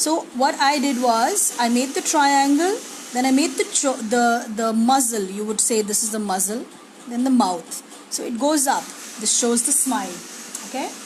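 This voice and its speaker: Over noticeable background noise and audible room echo, a woman speaks at a high pitch with lively intonation. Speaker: art teacher. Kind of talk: live drawing tutorial. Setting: live stream. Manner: slow.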